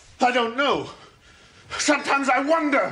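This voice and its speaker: In a put-on character voice, a man speaks with an extremely high pitch. His voice is raised and projected, at a moderate pace. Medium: short film.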